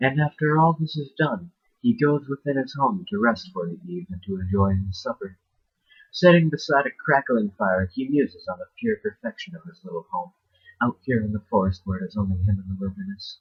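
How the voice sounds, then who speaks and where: Mumbling at a fairly quick pace, a man with a fairly high pitch sounds somewhat breathy and uses very wide pitch swings. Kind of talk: horror short story reading.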